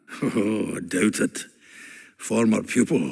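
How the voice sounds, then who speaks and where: A raspy, put-on character voice from a man, medium in pitch, at a fairly slow pace. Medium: video game. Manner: chatty, laughing.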